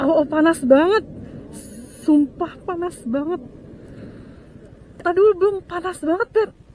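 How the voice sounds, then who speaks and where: Over noticeable background noise, a woman with an extremely high pitch and an animated tone speaks at a fairly slow pace, taking long, frequent pauses. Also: ordinary pitch variation. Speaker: motovlogger. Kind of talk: casual vlog narration while riding. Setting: on a motorbike outdoors.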